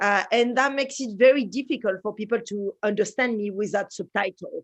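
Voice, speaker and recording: Delivered at a fairly quick pace with ordinary pitch variation, the speech comes in a strong French accent. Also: woman, fairly high pitch for a woman. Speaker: space researcher and designer. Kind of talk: conference presentation.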